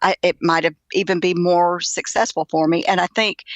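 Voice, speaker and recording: Speaking with a Southern US accent, a woman uses a fairly low pitch and fairly even intonation at a moderate pace, in a dry, close sound with no echo against a quiet background. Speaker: author. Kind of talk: interview answer. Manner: gentle.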